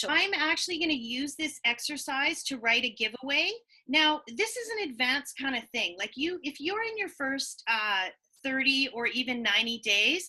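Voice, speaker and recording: A woman's raised, projected voice, high-pitched with a bright, sharp tone, moves through very wide pitch swings. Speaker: online marketing coach. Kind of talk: web-class presentation. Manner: fast.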